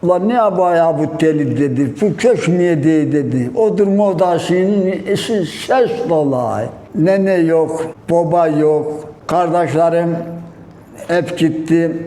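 Over noticeable background noise, a man speaks very slowly at a high pitch, his loudness very even and his pitch variation ordinary. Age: 70s. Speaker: villager. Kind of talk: interview answer, reminiscing.

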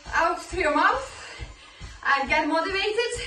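A woman uses a raised, projected voice, with audible room echo and faint music in the background. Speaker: fitness instructor. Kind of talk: workout instruction. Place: home room.

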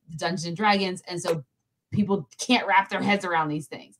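Her intonation stays fairly even. The speaker is a woman against a quiet background. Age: 30s. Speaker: pop culture podcast host. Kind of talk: casual chat. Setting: livestream. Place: home room.

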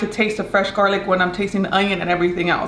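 A woman's voice carries audible room echo, with light background noise behind it. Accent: slight Mexican. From Mexican. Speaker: cooking video host. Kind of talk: casual cooking tutorial. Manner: chatty, playful. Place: kitchen.

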